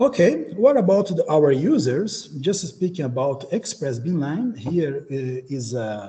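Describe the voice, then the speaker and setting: A somewhat breathy, dark, mellow voice with a Portuguese accent moves at a fairly slow pace through very wide pitch swings. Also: man, fairly high pitch for a man. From Brazil. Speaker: beamline scientist. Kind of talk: conference talk. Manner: halting.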